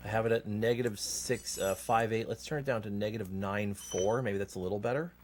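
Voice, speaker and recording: A man with a fairly low pitch talks at a fairly quick pace with fairly even intonation and hardly any pauses. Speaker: speedrunner streamer. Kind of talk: casual live-stream chat while gaming. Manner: mumbling at times.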